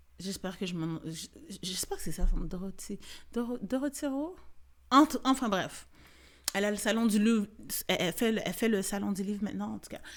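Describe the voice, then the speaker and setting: A woman speaks in an animated tone, with lively intonation. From Quebec. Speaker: podcast host and comedian. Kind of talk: casual podcast monologue. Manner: animated, franglais code-switching.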